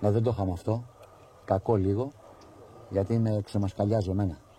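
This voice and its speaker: A man speaks fairly quickly in a fairly low pitch. His voice is somewhat breathy, with a dark, mellow tone. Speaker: pigeon hobbyist video narrator. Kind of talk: live commentary. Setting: outdoors. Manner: animated.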